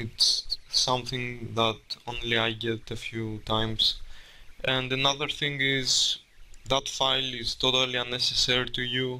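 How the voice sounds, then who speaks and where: At a fairly slow pace and medium pitch, a man speaks with a non-native accent and monotone, flat intonation. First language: not English. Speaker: game developer. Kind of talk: tutorial. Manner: halting.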